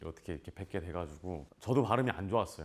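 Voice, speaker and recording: A man's voice carries an animated tone, swinging very widely in pitch. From South Korea, Namyangju. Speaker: actor. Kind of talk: casual Q&A talk to students. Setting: school visit with students.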